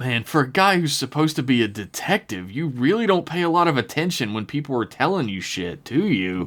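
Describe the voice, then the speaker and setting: A man's put-on character voice at medium pitch, fairly quick with hardly any pauses, on a very clean recording with a silent background. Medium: actual play. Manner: blustering.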